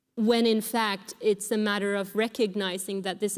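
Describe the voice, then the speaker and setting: A woman with a Sámi accent, medium pitch and monotone, flat intonation. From Finland (Sámi). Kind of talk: panel discussion. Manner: hesitant, many fillers.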